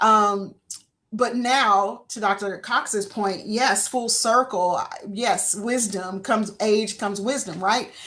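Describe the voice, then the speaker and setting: In a Southern US accent, the speaker talks at a very slow pace with fairly even intonation. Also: woman, fairly high pitch for a woman. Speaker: insurance industry panelist. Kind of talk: panel discussion. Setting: webinar.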